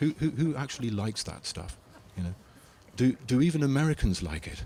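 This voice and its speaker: Here a man talks with an English accent. His pace is moderate and his intonation lively. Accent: English accent, called a souvenir. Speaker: philosopher lecturer answering audience questions. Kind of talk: Q&A after a lecture. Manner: hesitant, many fillers and repetitions; animated.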